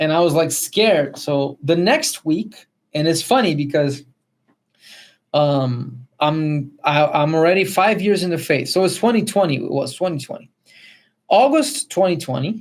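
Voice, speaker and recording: Moderate pace with a Spanish accent. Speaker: podcast co-host. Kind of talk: testimony. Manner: halting.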